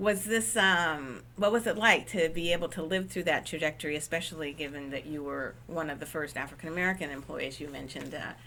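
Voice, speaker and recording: Her pitch very deep and low, a woman talks with lively intonation, a bright, sharp tone, and vocal fry. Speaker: interviewer. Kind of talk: oral history interview questions.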